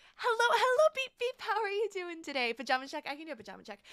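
A woman's raised, projected voice with a bright, sharp tone and very wide pitch swings at a fairly quick pace, over a quiet background. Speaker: streamer. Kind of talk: casual chat. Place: home room. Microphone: studio mic.

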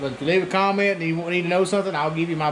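A man talks at a fairly high pitch with fairly even intonation, and faint background noise can be heard.

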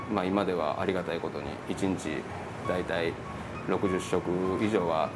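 A man talks with music in the background. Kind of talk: interview answer. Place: cafe. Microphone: lapel.

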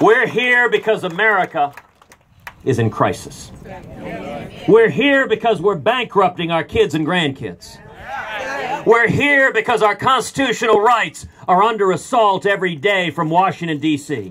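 Lively in intonation but fairly slow, a man talks with long, frequent pauses over light background noise. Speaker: candidate. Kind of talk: campaign rally speech. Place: street.

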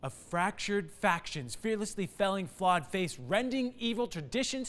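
A man projects a raised voice with a bright, sharp tone. His pitch swings very widely at a fairly slow pace. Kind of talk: dramatic spoken-word poetry. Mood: urgent, earnest. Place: studio.

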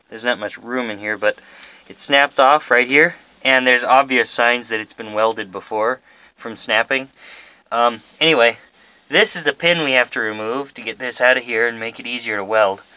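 A man's bright, sharp tone at a moderate pace, with fairly even intonation and a quiet background. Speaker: farm vlogger doing repairs. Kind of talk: tutorial. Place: farm machine.

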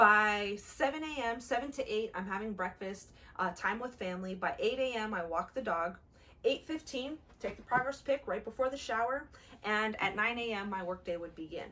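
With lively intonation, a woman talks at a moderate pace. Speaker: fitness challenge vlogger. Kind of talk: casual vlog chat. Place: home room. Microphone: camera far.

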